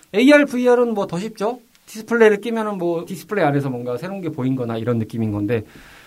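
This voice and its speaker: A man is speaking. His pitch swings very widely. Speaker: podcast host. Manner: formal broadcaster tone.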